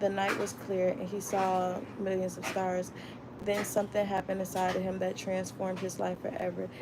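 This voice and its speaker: A woman with an American accent speaks at a medium pitch in a monotone, flat delivery, with audible room echo and noticeable background noise. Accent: Florida accent, stronger when reading fast. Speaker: book club vlogger. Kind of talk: reading aloud.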